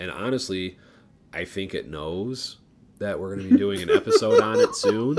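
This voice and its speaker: Amid noticeable background noise, a man talks at a moderate pace with big swings in loudness. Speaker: podcast co-host. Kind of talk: casual chat. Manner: mush-mouthed.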